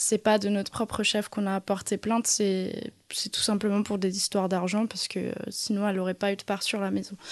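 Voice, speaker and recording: This woman's pitch is in the medium range. She delivers everything in a flat monotone. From Alsace, France. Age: 30s. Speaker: abuse survivor sharing testimony. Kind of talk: testimony. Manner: halting, repeated words.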